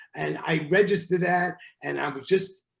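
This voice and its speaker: This man talks with a New York accent. He takes a fairly slow pace. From New York, Brooklyn. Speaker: relationship therapist. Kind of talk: podcast interview. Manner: direct, forthright.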